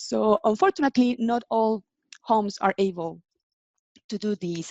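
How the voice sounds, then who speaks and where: This woman has a Spanish accent and a fairly high pitch. She talks at a moderate pace with lively intonation. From Mexico. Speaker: in-house legal and compliance manager. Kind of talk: interview. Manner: halting.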